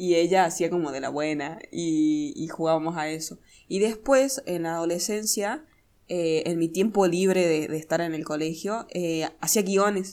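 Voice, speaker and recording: An unremarkable speaking voice with ordinary pitch variation moves at a fairly slow pace. The recording is very clean, with a silent background. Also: woman, fairly low pitch for a woman. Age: 20s. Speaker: podcast co-host. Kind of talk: casual chat.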